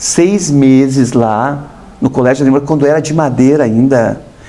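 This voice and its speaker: A man's voice over noticeable background noise. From southern Brazil, Paraná. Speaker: artist, former model. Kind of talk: TV interview. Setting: TV studio. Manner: conversational, hesitant fillers.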